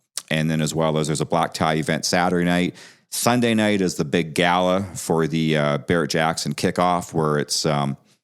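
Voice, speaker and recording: With a Canadian accent, a man speaks at a moderate pace in a very deep, low voice with fairly even intonation. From Canada, Vancouver, British Columbia. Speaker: classic car dealer. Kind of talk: podcast interview.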